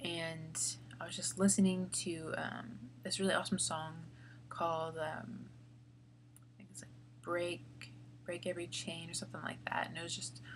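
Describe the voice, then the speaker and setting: A woman with an American accent speaks quietly at a moderate pace, with big swings in loudness. Long, frequent pauses stand out against audible room echo. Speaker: vlogger. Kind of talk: casual vlog talk. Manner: halting, many fillers.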